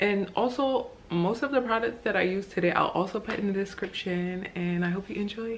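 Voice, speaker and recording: Against noticeable background noise, a woman of medium pitch speaks fairly quickly with ordinary pitch variation. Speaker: beauty vlogger. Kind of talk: tutorial. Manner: casual, chatty.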